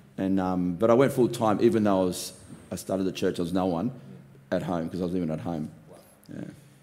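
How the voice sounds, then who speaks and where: A man's very deep, low, dark and mellow voice in an Australian accent, a very fast pace broken by long, frequent pauses. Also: ordinary pitch variation. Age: 50s. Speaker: pastor. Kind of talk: casual interview.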